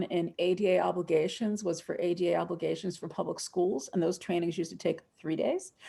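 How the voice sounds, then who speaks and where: Here a woman with an American accent talks at a fairly quick pace with hardly any pauses. Her medium pitch carries vocal fry and fairly even intonation. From US East Coast. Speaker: accessibility law trainer. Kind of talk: webinar lecture. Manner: fast.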